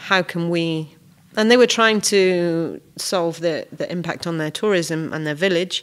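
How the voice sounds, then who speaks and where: With a Welsh accent, a woman speaks fairly slowly with ordinary pitch variation in a very clean recording with a silent background. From Wales. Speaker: refugee volunteer. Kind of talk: podcast interview.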